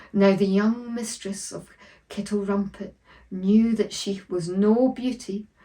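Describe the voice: This is plain reading aloud, and its intonation is mostly level.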